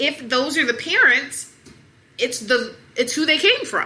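Raising and projecting her high-pitched voice, a woman with an American accent talks at a fairly slow pace. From US South, Atlanta. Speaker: obesity medicine physician. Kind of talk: interview.

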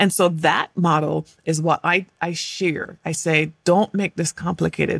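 Flat and monotone with vocal fry, the speech runs on with hardly any pauses in a dry, close sound with no echo. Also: woman. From England. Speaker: organizational psychologist and executive coach. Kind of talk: casual interview conversation.

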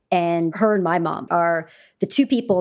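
A woman with an ordinary speaking voice, a Canadian accent, a fairly low pitch and a moderate pace. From Canada. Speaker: food company founder. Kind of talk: interview.

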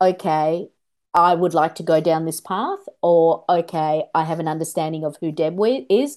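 A woman speaks with an Australian accent and a fairly low pitch. Her tone is dark and mellow. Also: quiet background. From Australia (migrated from India at six). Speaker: shaman and spiritual teacher. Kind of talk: casual interview chat.

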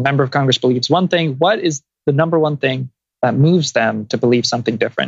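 A fairly high-pitched, somewhat breathy male voice at a very fast pace, with ordinary pitch variation, very even loudness and a dry, close sound with no echo. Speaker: climate policy advocate. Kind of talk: interview.

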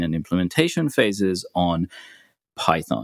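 A man with a British accent and a very deep, low pitch is heard in a dry, close sound with no echo, on a very clean recording with a silent background. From UK. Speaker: software developer. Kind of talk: podcast interview.

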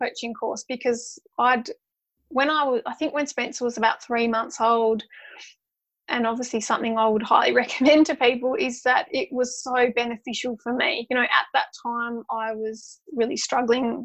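In an Australian accent, a woman speaks at a high pitch and moderate pace with fairly even intonation over a quiet background. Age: 30s. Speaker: social worker and mother. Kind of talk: casual interview.

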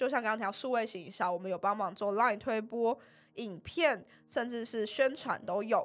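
A woman speaks in an unremarkable speaking voice at a fairly quick pace. Her pitch is fairly high. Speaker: pharmacy student and marketing intern. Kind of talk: podcast interview.

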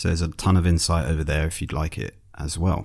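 A man with a very deep, low pitch is heard on a very clean recording with a silent background. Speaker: podcast host and founder. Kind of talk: casual chat. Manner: self-deprecating, nervous.

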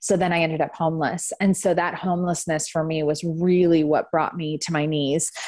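A woman's fairly low, monotone, flat voice at a fairly quick pace with hardly any pauses, over noticeable background noise. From San Francisco Bay Area. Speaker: nonprofit founder and trafficking survivor. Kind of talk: interview testimony.

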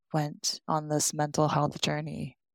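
In a very clean recording with a silent background and a dry, close sound with no echo, a woman with an American accent speaks at a very slow pace in a very deep, low pitch. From New York City, raised from age seven after Japan and Hong Kong. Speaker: artist and children's book illustrator. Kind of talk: casual interview chat.

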